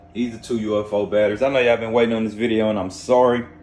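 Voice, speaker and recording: Talking at a medium pitch with an American accent, a man is heard through noticeable background noise. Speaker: off-grid solar hobbyist vlogger. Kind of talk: casual video vlog.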